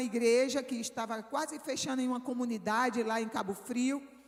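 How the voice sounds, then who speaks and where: With a northeastern Brazilian accent, a woman speaks in a high voice with fairly even intonation. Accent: Northeastern Brazilian, kept. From Brazilian Northeast. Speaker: missionary preacher. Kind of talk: sermon.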